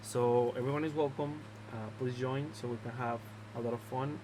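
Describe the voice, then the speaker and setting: A man talks at a fairly quick pace with a Mexican accent. His medium-pitched voice keeps a monotone, flat intonation. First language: Spanish. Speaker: drone racing league organizer. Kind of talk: video announcement, explaining league rules. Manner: halting, many filler words.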